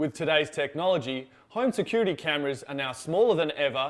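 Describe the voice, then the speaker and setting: A man with a plain, everyday voice talks at a fairly quick pace, his pitch fairly high for a man and his intonation lively. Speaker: TV news reporter and anchor. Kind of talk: TV news reporting and anchoring, demo reel.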